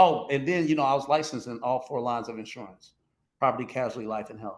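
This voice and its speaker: Talking at a very fast pace in an animated tone, a man with an American accent shows ordinary pitch variation. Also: medium pitch for a man, big swings in loudness. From Kansas City, Missouri. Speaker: former fraud convict telling his story. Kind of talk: casual interview storytelling.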